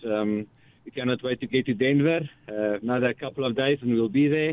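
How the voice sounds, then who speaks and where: An ordinary speaking voice from a man, medium in pitch, at a fairly quick pace. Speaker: safari outfitter. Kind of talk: radio interview.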